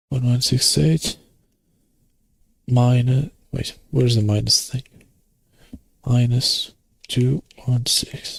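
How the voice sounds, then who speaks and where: Somewhat breathy, a man speaks at medium pitch with fairly even intonation. His pace is very slow, with long, frequent pauses. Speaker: minecraft streamer. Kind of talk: live gaming stream chat. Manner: casual, rambling.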